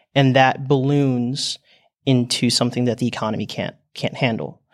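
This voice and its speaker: A man's unremarkable speaking voice at medium pitch and moderate pace, with fairly even intonation, on a very clean recording with a silent background. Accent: American. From United States. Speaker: exchange student. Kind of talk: panel discussion. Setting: studio.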